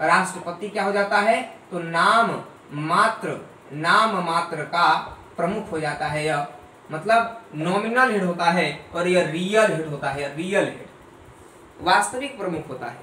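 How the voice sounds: Amid audible room echo, a man with a high pitch and a bright, sharp tone speaks at a fairly slow pace. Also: ordinary pitch variation.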